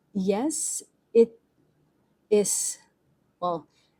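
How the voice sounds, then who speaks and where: A woman speaks in a dark, mellow tone that is somewhat breathy. The sound is dry and close with no echo. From Philippines. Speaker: book and journaling vlogger. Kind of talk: casual vlog chat. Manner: halting, rambling with self-corrections.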